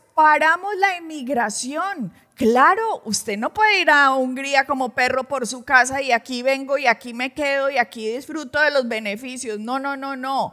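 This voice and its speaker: A woman speaks in a raised, projected voice at a high pitch, with lively intonation and a fairly slow pace. She hardly pauses, and the recording is very clean with a silent background. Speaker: pastor presenting news commentary. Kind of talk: religious news commentary. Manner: animated.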